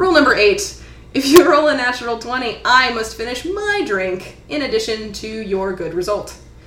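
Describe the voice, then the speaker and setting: Over noticeable background noise, a woman talks at a moderate pace with very wide pitch swings and big swings in loudness. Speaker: dungeon master and podcast host. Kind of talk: tabletop role-playing game podcast, casual and improvised. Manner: casual, self-deprecating, laughs often.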